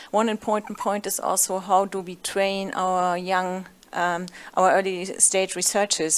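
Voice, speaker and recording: A woman's medium-pitched voice with a German accent, on a very clean recording with a silent background. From Germany. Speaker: panelist, gender research manager. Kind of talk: panel discussion.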